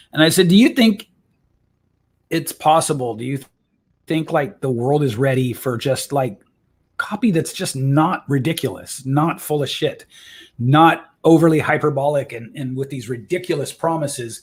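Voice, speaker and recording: A man's somewhat breathy voice, fairly high in pitch, with ordinary pitch variation at a moderate pace. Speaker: copywriter and voice coach. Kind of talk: interview. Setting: live stream. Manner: casual with many fillers.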